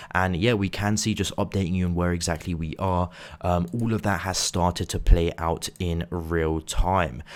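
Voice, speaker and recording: Quiet and very deep, low in pitch, a man speaks at a moderate pace with fairly even intonation. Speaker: crypto trading youtuber. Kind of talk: market analysis video. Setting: hotel room. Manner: quiet, hushed.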